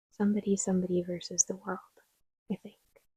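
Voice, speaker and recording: A soft-spoken woman talks in a medium pitch with fairly even intonation and a dark, mellow tone. The sound is dry and close with no echo. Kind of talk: soft-spoken ASMR closet tour. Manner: soft-spoken, slow, quiet.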